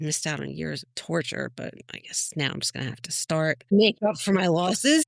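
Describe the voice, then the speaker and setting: At a moderate pace, a woman with a strong New Jersey accent talks with big swings in loudness. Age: old. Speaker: podcast guest, adoptee meeting biological brother. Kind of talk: casual chat, personal story. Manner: animated.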